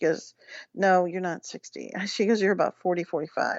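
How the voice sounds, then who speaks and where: A woman with an American accent and an ordinary speaking voice, medium pitch, ordinary pitch variation and a fairly quick pace. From Washington DC area. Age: 60s. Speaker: psychic. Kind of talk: interview.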